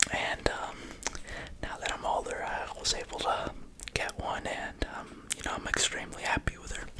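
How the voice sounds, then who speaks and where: Someone whispers at a moderate pace with long, frequent pauses over noticeable background noise. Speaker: pigeon fancier. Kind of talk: ASMR whisper video. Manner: whispered; soft-spoken.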